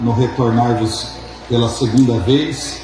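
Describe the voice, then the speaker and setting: A man talks at a fairly slow pace, with noticeable background noise and audible room echo. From interior of São Paulo state, Vale do Paraíba. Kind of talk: sermon.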